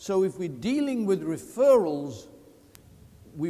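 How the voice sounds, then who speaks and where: A man with a dark, mellow tone and high pitch moves at a very slow pace, his pitch swinging very widely. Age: 70s. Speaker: veteran insurance salesman and sales speaker. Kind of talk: motivational sales talk. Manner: animated.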